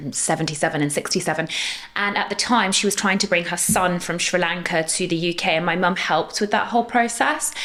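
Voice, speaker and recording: At a fairly quick pace, a woman talks with ordinary pitch variation over noticeable background noise. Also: fairly low pitch for a woman. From Middle East. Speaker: dentist, podcast co-host. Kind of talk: casual chat.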